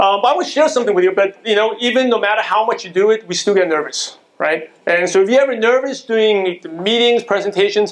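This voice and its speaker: Amid noticeable background noise, a man with an American accent and a high pitch talks in an animated tone at a fairly quick pace, with ordinary pitch variation. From Brooklyn, New York, US. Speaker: motivational business speaker. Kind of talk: motivational business presentation. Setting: stage with audience. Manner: fast.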